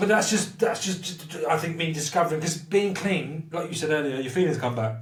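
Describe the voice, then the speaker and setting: Noticeable background noise accompanies a man with a high pitch who talks at a fairly quick pace with ordinary pitch variation. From southern England, Portsmouth. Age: 30s. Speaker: recovering addict. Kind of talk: casual chat. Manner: animated.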